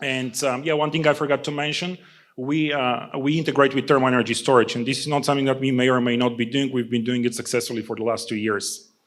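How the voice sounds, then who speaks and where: A man with a non-native accent speaks at a very fast pace in a medium pitch. His intonation is fairly even, on a very clean recording with a silent background. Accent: noticeable foreign. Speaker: startup founder. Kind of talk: pitch presentation. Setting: stage with audience. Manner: many fillers (uh, um).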